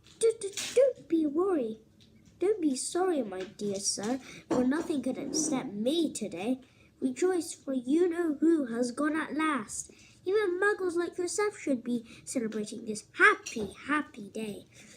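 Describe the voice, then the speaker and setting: A woman speaks at a fairly slow pace in a high, squeaky, put-on character voice. Her pitch swings very widely. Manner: gleeful, joyous.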